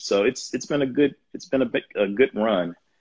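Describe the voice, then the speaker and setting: A man talks with an American accent. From US South, Jackson, Mississippi. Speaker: professor and university administrator. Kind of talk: interview on a live video stream. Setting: video call, online livestream.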